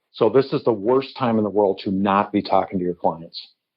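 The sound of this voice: This man talks at a fairly quick pace with an American accent. His pitch is fairly low, with ordinary pitch variation.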